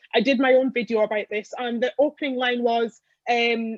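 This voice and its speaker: Dry and close with no echo, the recording captures a woman's high voice. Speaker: election candidate. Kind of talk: political hustings. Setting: online video call. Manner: fast; animated.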